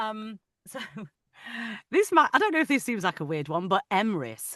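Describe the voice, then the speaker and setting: A woman's fairly high, bright, sharp voice in a northern English accent, with vocal fry, very wide pitch swings, a moderate pace and a dry, close sound with no echo. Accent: soft northern English. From northern England, Manchester. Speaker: audiobook narrator. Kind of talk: casual chat. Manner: halting.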